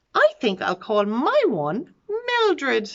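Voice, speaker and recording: A woman puts on a high-pitched character voice. She speaks at a very slow pace. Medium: read story.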